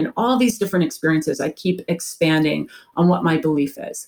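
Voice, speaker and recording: In an ordinary speaking voice, a woman with a fairly low pitch talks with lively intonation in a very clean recording with a silent background. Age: 50s. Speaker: executive and life coach. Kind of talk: radio interview.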